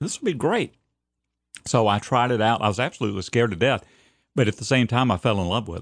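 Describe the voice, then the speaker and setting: With a Southern US accent, a man talks at a very fast pace with ordinary pitch variation, his sound dry and close with no echo against a quiet background. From US South, Alabama. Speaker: stadium announcer. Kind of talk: casual chat. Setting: studio. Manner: repeats words, slight stammer.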